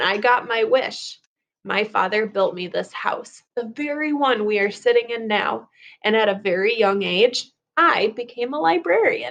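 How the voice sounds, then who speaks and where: A woman puts on a raspy character voice at a fairly high pitch. Her pace is moderate and her pitch varies in an ordinary way. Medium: read story. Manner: genteel, storytelling.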